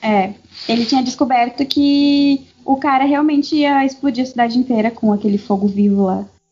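Pitch variation stays ordinary in this woman's speech. Her voice is high. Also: moderate pace, very even loudness. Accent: slight southern Brazilian. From southern Brazil. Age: 20s. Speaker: podcast guest, international relations graduate. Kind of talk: casual chat.

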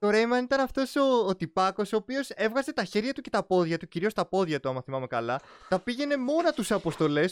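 Recorded very cleanly against a silent background, with a dry, close sound and no echo, a man speaks at a moderate pace in a high voice that makes very wide pitch swings. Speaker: gaming podcast host. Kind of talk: casual chat.

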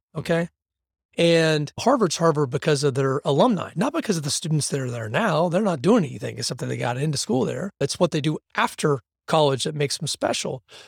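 A man talks at a fairly quick pace in an animated tone, with lively intonation, fairly high pitch and vocal fry. The recording is very clean, with a silent background and a dry, close sound with no echo. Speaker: athletics director. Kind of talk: casual interview conversation. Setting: podcast interview.

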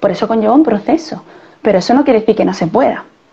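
A woman talks in a fairly high pitch with lively intonation. Noticeable background noise runs underneath. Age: 30s. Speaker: physiotherapist and CrossFit coach. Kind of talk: interview conversation. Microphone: poor audio in parts.

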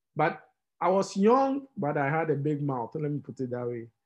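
A man talks in a fairly high voice with a Ghanaian accent. The background is quiet. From Ghana, Tema. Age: 20s. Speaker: fintech entrepreneur. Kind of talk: interview.

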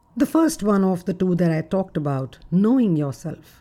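A woman talks at a moderate pace with a fairly low pitch. Her tone is dark and mellow, and her pitch swings widely.

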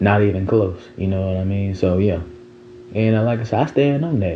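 Against noticeable background noise, a man with a fairly low pitch speaks at a moderate pace with ordinary pitch variation. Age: 20s. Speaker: podcast host. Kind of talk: casual monologue. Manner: animated.

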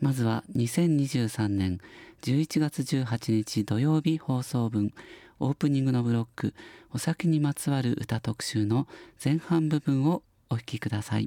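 In a dark, mellow tone, the voice moves at a fairly slow pace with ordinary pitch variation and very even loudness, recorded very cleanly with a silent background and a dry, close sound with no echo. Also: man, medium pitch for a man. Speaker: radio host. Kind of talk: radio show talk.

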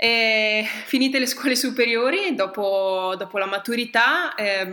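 With noticeable background noise present, the woman's medium-pitched voice shows ordinary pitch variation. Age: 20s. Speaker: triathlete and nurse. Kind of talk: casual interview. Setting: at the guest's home.

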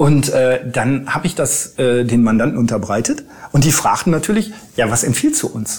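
A man with lively intonation talks at a moderate pace while noticeable background noise carries on. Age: 50s. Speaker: lawyer. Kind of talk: interview. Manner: hesitant with frequent fillers.

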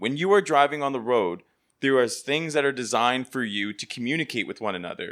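A man's medium-pitched voice with lively intonation, an ordinary speaking voice, on a very clean recording with a silent background. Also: fairly quick pace. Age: 30s. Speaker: tech colleague guest. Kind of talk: casual chat.

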